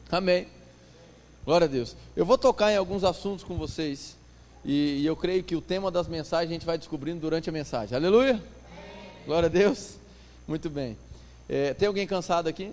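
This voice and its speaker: A man speaks in a high voice with ordinary pitch variation. He leaves long, frequent pauses. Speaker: pastor. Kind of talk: sermon. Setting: church conference with audience. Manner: fast; animated.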